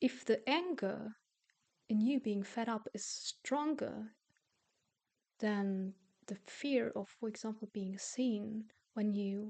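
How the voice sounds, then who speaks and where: A woman's very slow, fairly high-pitched voice with a non-native accent, a dark, mellow tone and ordinary pitch variation. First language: not English. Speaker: self-help youtuber and coach. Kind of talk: casual monologue to camera. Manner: halting, with repeated words.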